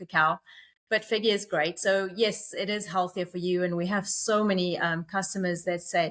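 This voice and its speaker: With a South African accent, a woman speaks at a moderate pace in a medium pitch and a monotone, flat intonation. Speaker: company co-founder. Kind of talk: podcast interview.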